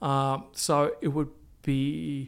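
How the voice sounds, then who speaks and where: A man is heard with an Australian accent. His pitch is fairly high. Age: 60s. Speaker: arts manager and PhD candidate. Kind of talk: interview. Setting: office. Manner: halting, many fillers.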